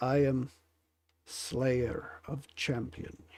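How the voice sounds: With a medium pitch, this man does a put-on character voice that sounds raspy.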